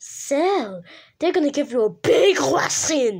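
A woman uses a put-on character voice with a high pitch. She goes at a fairly slow pace with very wide pitch swings. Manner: screaming.

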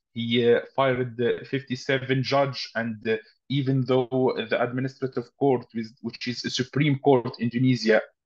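Against a quiet background, a man with an Arabic accent speaks at a fairly slow pace in a monotone, flat intonation. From Tunisia. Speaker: human rights activist; panelist. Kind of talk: webinar talk. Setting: video call. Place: home room. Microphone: video call.

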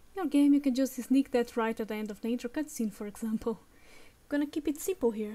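At a very fast pace, a woman with a non-native accent speaks in a high pitch with a dark, mellow tone and ordinary pitch variation. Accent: non-native English pronunciation. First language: non-native English speaker. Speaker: game-making tutorial creator. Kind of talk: software tutorial narration. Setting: home recording with a low-quality mic.

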